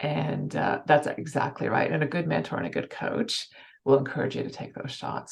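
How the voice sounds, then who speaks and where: Someone talks with a Canadian accent at a fairly quick pace. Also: woman. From Canada. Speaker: financial services executive. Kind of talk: interview. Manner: fast.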